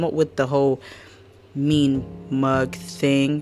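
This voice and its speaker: Music plays in the background as a woman speaks at a very deep, low pitch with ordinary pitch variation. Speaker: podcast host. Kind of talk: casual chat. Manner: animated.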